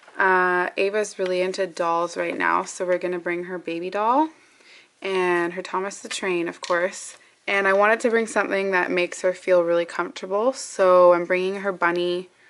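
A woman talks at a moderate pace, keeping her intonation fairly even. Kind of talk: casual vlog chat. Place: home room. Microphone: phone near.

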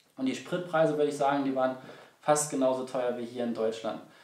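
A man's voice in audible room echo, with fairly even intonation. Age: 20s. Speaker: travel vlogger. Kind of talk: casual travel vlog narration. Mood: relaxed, friendly. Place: home room.

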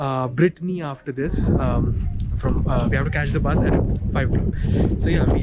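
Loud background noise surrounds a man speaking at a moderate pace. The sound is dry with no echo. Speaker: student travel vlogger. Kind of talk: casual vlog chat. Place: open country. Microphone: phone near.

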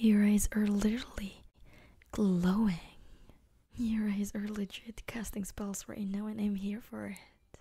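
A woman talks at a fairly slow pace in a flat monotone, her tone dark and mellow and somewhat breathy, against a quiet background. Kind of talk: soft ASMR role-play talk to viewer.

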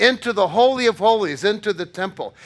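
Against a quiet background, a man speaks in a raised, projected voice with a bright, sharp tone. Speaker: pastor. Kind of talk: sermon. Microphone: podium.

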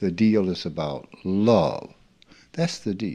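With a Southern US accent, a man speaks at a fairly low pitch in a dark, mellow tone. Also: very clean recording, silent background. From US South, rural Mississippi. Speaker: spiritual teacher. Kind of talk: informal spiritual talk.

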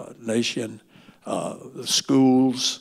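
A man's voice with fairly even intonation. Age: 80s+. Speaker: pastor. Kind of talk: sermon. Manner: halting. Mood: earnest, exhorting. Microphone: handheld.

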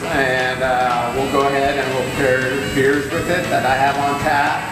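Clear music plays behind a man whose voice carries audible room echo. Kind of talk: interview answer. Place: factory.

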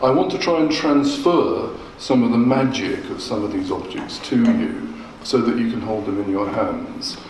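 A man talks at a fairly slow pace. Room echo is audible, along with light background noise. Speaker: food historian lecturer. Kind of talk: lecture. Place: hall. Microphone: podium.

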